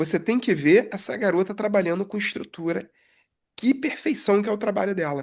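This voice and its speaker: This is an ordinary speaking voice, a woman's at medium pitch with lively intonation. She keeps a moderate pace against a quiet background. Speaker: aircraft structures technician, podcast co-host. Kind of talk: casual chat.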